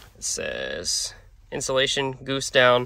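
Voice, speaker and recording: A man talks with a bright, sharp tone, the sound dry with no echo. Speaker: reseller vlogger. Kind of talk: casual vlog chat. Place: car. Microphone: phone near.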